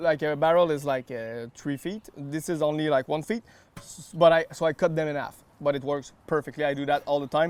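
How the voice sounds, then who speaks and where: With a slight French Canadian accent, a man speaks with ordinary pitch variation and big swings in loudness. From Quebec. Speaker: barbecue accessory maker. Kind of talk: cooking demonstration. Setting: outdoors.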